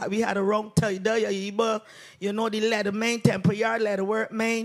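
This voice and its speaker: Over music in the background, the speech comes at a fairly slow pace. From Barbados. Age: 60s. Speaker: basket weaver and craft vendor. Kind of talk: audience comment at panel discussion.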